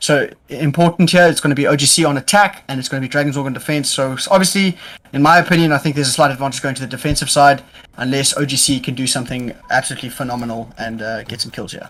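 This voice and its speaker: Speech comes very quickly. The pitch moves up and down in a normal way. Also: man, fairly high pitch for a man. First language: not English. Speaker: esports caster. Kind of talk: live commentary. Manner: animated.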